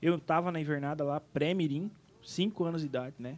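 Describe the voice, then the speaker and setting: A man's fairly high voice, an ordinary speaking voice, fairly quick in pace, with ordinary pitch variation. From Rio Grande do Sul, Brazil (Planalto). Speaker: singer and events businessman. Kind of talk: casual interview chat.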